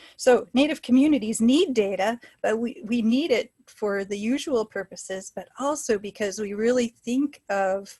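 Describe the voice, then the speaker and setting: Against a quiet background, a woman with an American accent speaks at a fairly slow pace in a somewhat breathy, dark, mellow tone, her fairly high pitch moving with ordinary variation. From US Pacific Northwest, Washington State. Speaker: public health scientist, webinar speaker. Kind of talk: lecture. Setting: webinar, video call.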